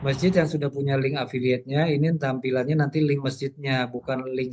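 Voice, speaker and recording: A man with a medium-pitched voice talks at a moderate pace in a monotone, flat intonation. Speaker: workshop trainer. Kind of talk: workshop presentation.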